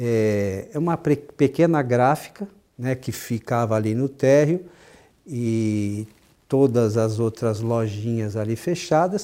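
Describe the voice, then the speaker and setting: A man's voice with a dark, mellow tone. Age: 50s. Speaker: spiritist talk show host. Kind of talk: casual chat.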